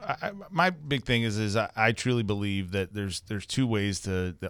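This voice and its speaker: Fairly quick and fairly even in intonation, a man with an American accent speaks at a fairly low pitch on a very clean recording with a silent background. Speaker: property management business owner. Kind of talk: casual chat.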